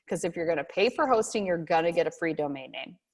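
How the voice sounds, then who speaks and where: A woman's lively intonation over a quiet background. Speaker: instructor. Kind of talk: lecture. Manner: animated. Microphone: video call.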